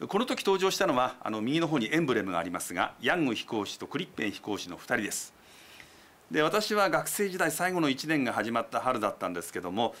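A man with a fairly high pitch and a bright, sharp tone talks at a fairly quick pace, with vocal fry and very wide pitch swings. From Japan. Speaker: TV news commentator. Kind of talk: explanatory news commentary. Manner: polite, measured. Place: studio. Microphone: lapel.

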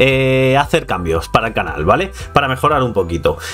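A man talks at a fairly quick pace while faint music can be heard in the background. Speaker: youtuber. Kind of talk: casual vlog chat. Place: home room. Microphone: studio mic.

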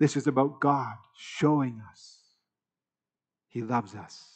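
There is ordinary pitch variation as a man speaks against a quiet background. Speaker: preacher. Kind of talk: sermon. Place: church.

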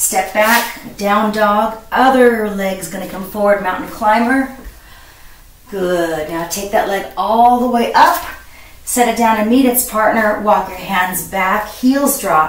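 A woman speaks very slowly with ordinary pitch variation and big swings in loudness, and audible room echo surrounds her voice. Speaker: fitness instructor. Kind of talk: workout instruction. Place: home room. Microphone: camera far.

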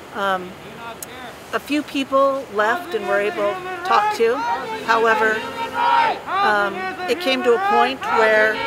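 Crowd noise fills the background of a dry recording with no echo. The speaker moves at a fairly slow pace with long, frequent pauses. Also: woman. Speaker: official spokesperson. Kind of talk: interview answer. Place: street.

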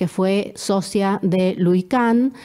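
The tone of this woman's voice is dark and mellow. Her intonation stays fairly even. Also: quiet background. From Argentina. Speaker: architect and researcher; presenter. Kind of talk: presentation. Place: home room.

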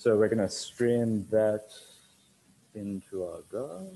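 The voice has a dark, mellow tone and fairly even intonation, moving at a very slow pace with long, frequent pauses. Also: man. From Sri Lanka. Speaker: bartender and restaurant owner. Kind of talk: tutorial. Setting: video call. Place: bar.

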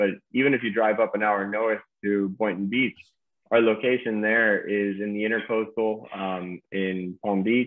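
Flat, monotone speech in an American accent comes at a moderate pace over a quiet background. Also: man. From Key Biscayne, Florida; Florida. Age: 30s. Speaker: startup co-founder; guest. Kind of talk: interview. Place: home room. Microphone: video call.

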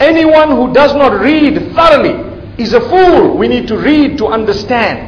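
Speaking at a fairly slow pace, a man uses an extremely high pitch over light background noise. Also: ordinary pitch variation. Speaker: religious lecturer. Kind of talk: sermon. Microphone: podium.

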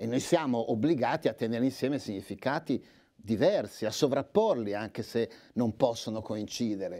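A man's dark, mellow voice at a moderate pace, with ordinary pitch variation, over a quiet background. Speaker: literary scholar. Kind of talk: lecture. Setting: stage with audience. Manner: formal. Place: hall. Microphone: lapel.

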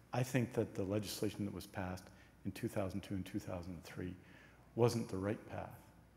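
A dark, mellow tone comes through somewhat breathy, at a moderate pace with ordinary pitch variation. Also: man. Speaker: cabinet minister. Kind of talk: parliamentary debate speech. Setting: legislative chamber. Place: hall.

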